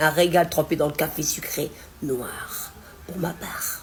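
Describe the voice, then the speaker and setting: A woman speaks in a somewhat breathy voice. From Nord-Pas-de-Calais, northern France. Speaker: home cook. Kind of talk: casual talk to camera about regional cooking words. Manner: chatty, folksy.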